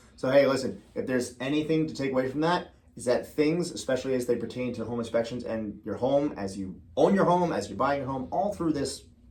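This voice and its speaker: With audible room echo, a man talks fairly quickly at a medium pitch and with lively intonation. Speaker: real estate agent. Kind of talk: casual chat. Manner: fast.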